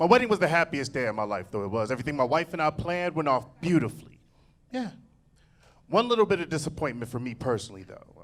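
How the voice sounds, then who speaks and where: A man's fairly high, very fast voice with vocal fry, very wide pitch swings and big swings in loudness, on a very clean recording with a silent background. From Cincinnati, Ohio, US Midwest. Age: 40s. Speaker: stand-up comedian. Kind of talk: stand-up. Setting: stage with audience. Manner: animated.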